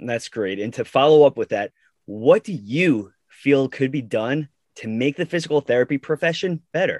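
A man at a moderate pace with lively intonation, dry, close sound with no echo, and a quiet background. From Long Island, New York. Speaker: physical therapist, podcast co-host. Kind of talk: casual chat.

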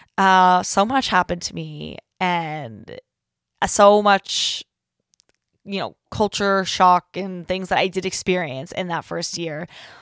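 A woman with a Pacific Northwest accent, medium in pitch, at a very slow pace, with ordinary pitch variation and big swings in loudness, on a very clean, silent recording with a dry, close sound and no echo. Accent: American, Pacific Northwest. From US Pacific Northwest. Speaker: podcast host, university student. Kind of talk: casual chat. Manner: loud, animated.

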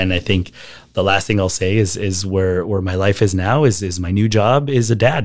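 A man with an American accent and an ordinary speaking voice talks at a fairly quick pace on a very clean recording with a silent background. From US, El Paso, Texas. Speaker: marketer. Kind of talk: interview conversation.

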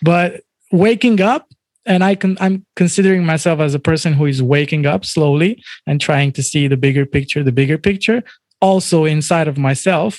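An unremarkable speaking voice moves at a moderate pace with ordinary pitch variation and very even loudness, the sound dry and close with no echo. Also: man, fairly high pitch for a man. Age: 30s. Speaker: DJ and music artist. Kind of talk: interview conversation.

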